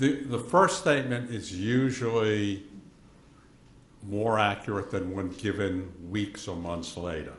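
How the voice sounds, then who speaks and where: Speaking at a fairly slow pace, a man has a fairly low pitch and ordinary pitch variation. Room echo is audible. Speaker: forensic pathologist expert witness. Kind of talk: courtroom testimony. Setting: courtroom.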